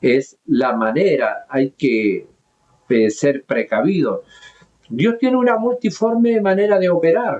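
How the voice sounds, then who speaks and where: A man speaks at a very slow pace with very even loudness. His high pitch moves in very wide swings. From southern Chile, mining region. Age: 70s. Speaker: pastor. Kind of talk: sermon. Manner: halting.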